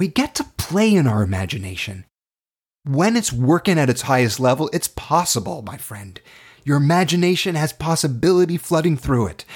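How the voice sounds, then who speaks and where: Speaking with a Canadian accent, a man uses a fairly high pitch with very wide pitch swings and a somewhat breathy quality. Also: moderate pace. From Canada (Toronto). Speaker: acting teacher. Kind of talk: online class lecture. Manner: animated.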